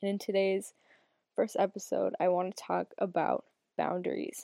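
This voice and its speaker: A woman speaks with an American accent. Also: dry, close sound with no echo. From US Northeast, northern Massachusetts. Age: 20s. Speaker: podcast host and Reiki practitioner. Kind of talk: solo podcast monologue. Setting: home, sitting in bed. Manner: casual, laughing.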